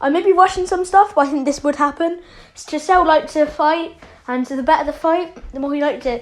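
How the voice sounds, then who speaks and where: A fairly quick pace from a woman, pitched high, her pitch varying in an ordinary way. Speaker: fan fiction storyteller. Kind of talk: casual storytelling monologue. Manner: fast; halting, many fillers.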